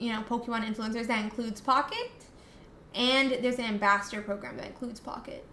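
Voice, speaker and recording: A very fast, monotone woman's voice with flat intonation, fairly high pitch and an American accent, with audible room echo. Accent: slight US Southern, comes out at times. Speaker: streamer. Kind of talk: live stream chat. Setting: live stream.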